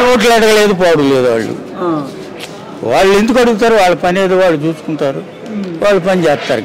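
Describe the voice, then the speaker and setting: A high-pitched man with lively intonation, very even loudness and noticeable background noise. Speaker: elderly pensioner. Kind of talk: street interview answer.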